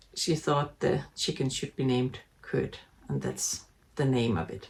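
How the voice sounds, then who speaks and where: A woman with a Danish accent at a very slow pace. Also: long, frequent pauses. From Denmark. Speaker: knitting podcaster. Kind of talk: casual chat. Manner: halting, many fillers.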